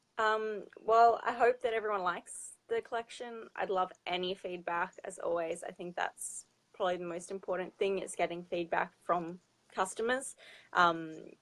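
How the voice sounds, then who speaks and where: Using fairly even intonation, a woman with an Australian accent speaks at a medium pitch and a moderate pace. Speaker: fashion designer. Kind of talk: interview.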